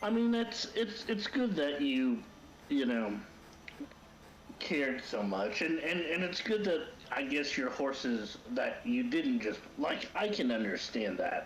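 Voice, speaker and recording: A man with a fairly high voice speaks at a fairly slow pace, with very wide pitch swings but very even loudness. Audible room echo and noticeable background noise surround him. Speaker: co-host. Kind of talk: casual chat. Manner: halting.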